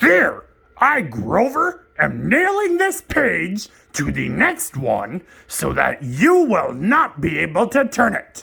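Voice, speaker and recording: In a cartoonish character voice, a man speaks high in pitch for a man at a fairly slow pace. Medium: puppet. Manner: excitable, fretful.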